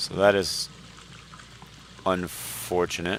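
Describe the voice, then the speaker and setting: There is noticeable background noise behind this man. His pitch is very deep and low, and his intonation stays monotone and flat. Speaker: video game streamer. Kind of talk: live gameplay stream chat.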